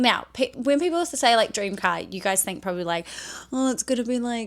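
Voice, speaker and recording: A woman speaks with a New Zealand accent. Her pitch varies in an ordinary way. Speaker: content creator. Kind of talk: personal vlog monologue. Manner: casual, rambling with fillers.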